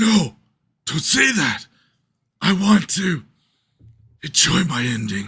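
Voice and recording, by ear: Putting on a character voice, a man speaks fairly slowly at a high pitch, his pitch swinging very widely, with long, frequent pauses.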